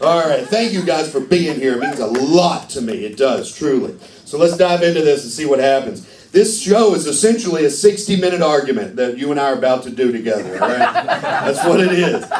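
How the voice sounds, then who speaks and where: Animated and fairly quick, a man with a fairly high pitch makes very wide pitch swings, with audible room echo and noticeable background noise. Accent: Kentucky. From Kentucky. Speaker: stand-up comedian. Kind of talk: stand-up. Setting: stage with audience.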